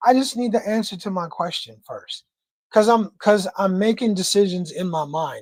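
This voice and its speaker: Speaking with an American accent, a woman has a medium pitch, ordinary pitch variation and a somewhat breathy sound. Her loudness swings widely. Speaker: livestream host. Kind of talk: casual chat. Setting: livestream. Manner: fast.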